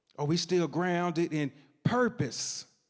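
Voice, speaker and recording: In an East Tennessee accent, a man speaks with a high pitch and an animated tone on a very clean recording with a silent background. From East Tennessee, Knoxville. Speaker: storyteller, community organizer. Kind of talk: live storytelling performance. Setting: stage with audience.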